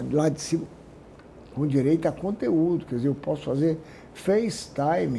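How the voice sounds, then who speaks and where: A somewhat breathy, dark, mellow tone with lively intonation at a moderate pace. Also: man. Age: 70s. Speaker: businessman. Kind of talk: interview.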